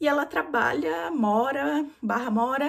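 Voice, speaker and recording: Very wide pitch swings mark this woman's speech. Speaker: book vlogger. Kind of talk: casual book review monologue. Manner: fast.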